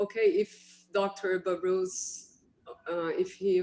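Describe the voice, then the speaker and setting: A woman with a Portuguese accent speaks at a medium pitch in a dark, mellow tone with monotone, flat intonation. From Brazil. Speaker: radiologist, moderator. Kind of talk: webinar panel discussion.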